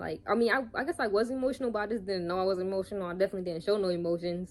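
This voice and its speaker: This woman's voice sits at a medium pitch with fairly even intonation. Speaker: YouTuber. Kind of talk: casual vlog monologue. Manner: fast.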